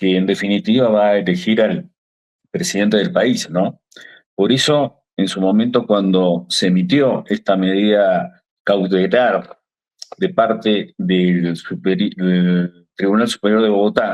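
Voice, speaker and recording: A very slow man with an Argentine accent, fairly low in pitch, with ordinary pitch variation and very even loudness. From Argentina. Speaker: lawyer, legal association secretary. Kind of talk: TV interview. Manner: hesitant, many fillers.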